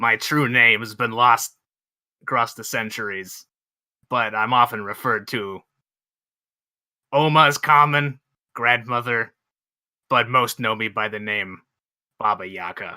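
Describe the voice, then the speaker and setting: Using a put-on character voice, a raspy man at medium pitch speaks at a fairly slow pace with long, frequent pauses. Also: very clean recording, silent background. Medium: actual play. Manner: wry, self-assured, brusque.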